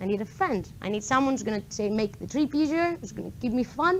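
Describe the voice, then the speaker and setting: In a Greek accent, a woman talks at a very fast pace with very wide swings in pitch. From Greece, island of Kos. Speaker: PhD student in mathematics, conference speaker. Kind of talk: tech meetup talk. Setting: stage with live audience.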